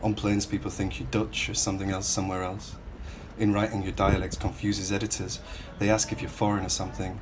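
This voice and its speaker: A man in a Hull accent, fairly low in pitch, with fairly even intonation, a very fast pace, and noticeable background noise. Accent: Northern English, Hull. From Northern England. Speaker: writer, poet. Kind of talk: spoken word poetry reading.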